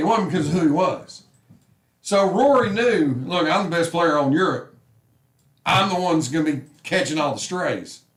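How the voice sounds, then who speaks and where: A man speaks loudly and at a fairly quick pace with a high pitch. His tone is animated and his intonation lively. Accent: Southern US. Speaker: sports talk show host. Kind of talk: casual sports talk.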